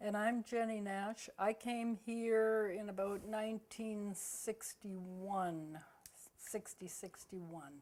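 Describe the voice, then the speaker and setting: A woman with a western Canadian accent speaks very slowly and in a fairly even intonation. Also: medium pitch for a woman. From Vancouver, Canada. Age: 80s+. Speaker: senior local resident. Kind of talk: oral history interview.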